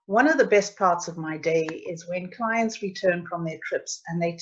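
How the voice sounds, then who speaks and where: Against a quiet background, a woman speaks in a South African accent. Her voice is somewhat breathy, and her pitch variation is ordinary. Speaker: travel agent. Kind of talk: webinar presentation. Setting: online webinar.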